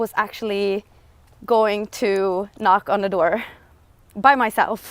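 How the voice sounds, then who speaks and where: The speaker is a woman with a non-native accent. She talks very slowly. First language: not English. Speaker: lifestyle vlogger. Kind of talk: livestream monologue. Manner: halting.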